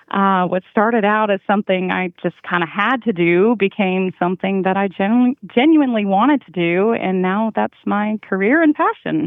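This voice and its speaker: The pitch varies in an ordinary way at a moderate pace. There are hardly any pauses. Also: woman, medium pitch for a woman. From US South (Georgia), moved from Canada at ten. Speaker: HR consultant, business owner. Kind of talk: interview conversation. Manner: hesitant with many fillers.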